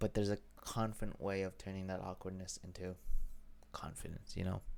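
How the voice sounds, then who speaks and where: A man speaks at a fairly quick pace. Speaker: vlogger. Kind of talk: personal vlog monologue. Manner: mumbling, stumbling; halting.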